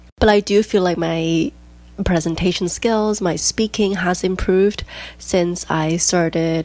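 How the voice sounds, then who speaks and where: A woman with a Chinese accent speaks at a fairly slow pace with fairly even intonation. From Hong Kong. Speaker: podcast host, diastasis recovery coach. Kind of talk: casual podcast monologue.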